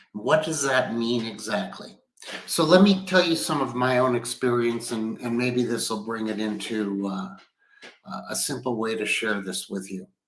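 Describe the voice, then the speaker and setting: Speaking at a moderate pace, a man with an ordinary speaking voice and medium pitch uses lively intonation. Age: 60s. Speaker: business executive. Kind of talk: livestream talk. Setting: at home. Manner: conversational.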